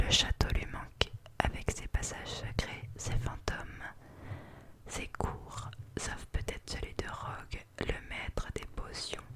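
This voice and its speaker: A very slow whisper against noticeable background noise. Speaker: ASMR artist. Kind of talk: read story. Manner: whispered.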